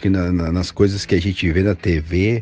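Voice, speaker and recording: Very deep and low, this man's voice moves at a fairly slow pace. His intonation stays fairly even. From southern Brazil, Rio Grande do Sul. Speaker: footwear company representative. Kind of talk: casual interview answers, recorded audio message.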